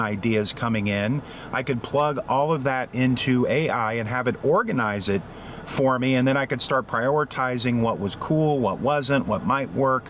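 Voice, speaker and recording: A man's medium-pitched voice at a moderate pace, with ordinary pitch variation, very even loudness, and noticeable background noise. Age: 50s. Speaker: AI literacy advocate. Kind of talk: casual talk to camera.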